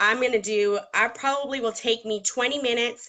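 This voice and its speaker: A woman with a Southern US accent speaks at a moderate pace with ordinary pitch variation. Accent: Southern US (Georgia). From Georgia, US South. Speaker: makeup artist. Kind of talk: tutorial. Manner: conversational with fillers.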